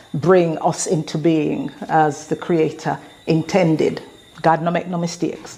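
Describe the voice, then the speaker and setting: With an English accent, a woman at a fairly low pitch talks at a fairly slow pace in a monotone, flat intonation over noticeable background noise. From England. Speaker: motivational speaker. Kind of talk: motivational talk.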